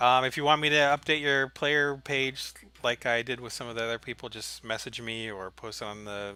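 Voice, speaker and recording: Bright, sharp tone from a man at a moderate pace, with fairly even intonation. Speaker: league organizer and stream host. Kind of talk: live stream chat. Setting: live online stream. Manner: monotone; hesitant, many fillers.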